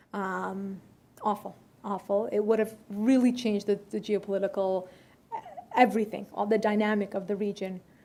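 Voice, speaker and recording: Against noticeable background noise, a woman talks at a moderate pace and medium pitch with monotone, flat intonation. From United States, Iranian-American family. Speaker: journalist and TV contributor on foreign affairs. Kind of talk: Q&A after a talk. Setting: luncheon event with audience. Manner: many fillers and restarts.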